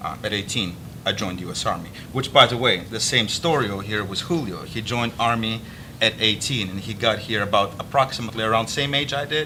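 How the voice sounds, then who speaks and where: A man with a Russian accent, very fast, medium in pitch, over noticeable background noise. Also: ordinary pitch variation. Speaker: army veteran, interview host. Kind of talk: interview. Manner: halting.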